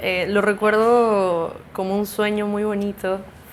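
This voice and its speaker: Speaking at a very slow pace, a woman with a medium pitch keeps a monotone, flat intonation. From Peru, mostly Lima, early years in Mexico. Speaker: musician. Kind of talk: casual interview. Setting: at home.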